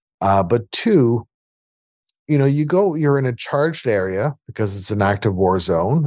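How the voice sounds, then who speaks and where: Against a quiet background, a man with a Canadian Prairies accent talks at a moderate pace with ordinary pitch variation. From Winnipeg, Manitoba, Canada (Transcona). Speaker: music producer and humanitarian founder. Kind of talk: interview conversation.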